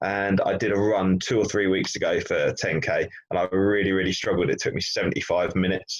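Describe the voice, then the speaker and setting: A man with an English accent at a fairly quick pace, hardly any pauses and very even loudness. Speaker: business training podcast co-presenter. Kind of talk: casual chat.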